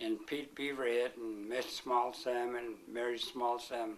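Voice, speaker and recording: In a Pacific Northwest accent, a man speaks very slowly at a medium pitch. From Flathead Indian Reservation, Montana. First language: Salish. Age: 60s. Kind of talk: interview. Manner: halting.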